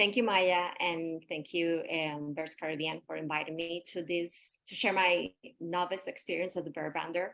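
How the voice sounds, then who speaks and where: A woman's fairly low, monotone, flat voice in a Spanish accent, at a moderate pace with hardly any pauses. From Puerto Rico. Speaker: environmental educator. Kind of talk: webinar presentation.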